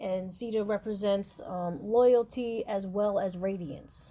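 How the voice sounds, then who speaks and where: Her tone dark and mellow, a woman speaks fairly slowly with fairly even intonation in a very clean recording with a silent background. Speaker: psychic and podcast host. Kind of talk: spiritual talk podcast. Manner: halting, many fillers; casual, conversational.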